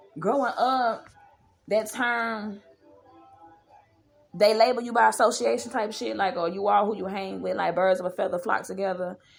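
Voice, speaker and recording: Vocal fry marks a woman's medium-pitched voice as she speaks at a moderate pace with ordinary pitch variation and long, frequent pauses. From US Midwest, Milwaukee, Wisconsin. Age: 30s. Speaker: podcast host. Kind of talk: casual podcast commentary.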